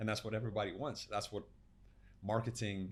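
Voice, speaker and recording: A man's fairly low, somewhat breathy voice with an American accent, monotone and flat in intonation. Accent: Lithuanian with American-sounding tinge. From Lithuania. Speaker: health and performance coach. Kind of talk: podcast interview. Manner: fast.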